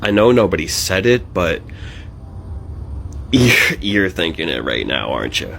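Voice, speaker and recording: Over noticeable background noise, a man with a very deep, low pitch talks fairly slowly, making very wide pitch swings and long, frequent pauses. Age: 20s. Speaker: stand-up comedian with Tourette syndrome. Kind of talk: direct-to-camera intro talk; stand-up.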